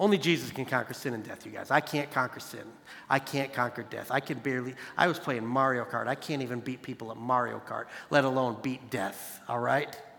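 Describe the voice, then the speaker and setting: This voice comes out fairly quick and animated, bright and sharp in tone, with vocal fry. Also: man, medium pitch for a man. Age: 40s. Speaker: youth pastor. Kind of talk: sermon.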